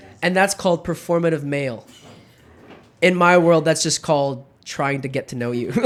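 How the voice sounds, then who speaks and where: A man with an American accent, lively intonation, big swings in loudness, a moderate pace and long, frequent pauses. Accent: sounds American. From Germany (countryside), British-Filipino third culture kid. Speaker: podcast host. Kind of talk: casual chat.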